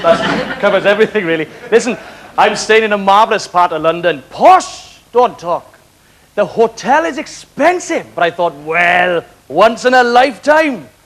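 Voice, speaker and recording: Noticeable background noise sits behind a man with a Welsh accent. His voice is high-pitched and swings very widely in pitch. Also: moderate pace. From West Wales, Carmarthen. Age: young. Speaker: comedian. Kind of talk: stand-up.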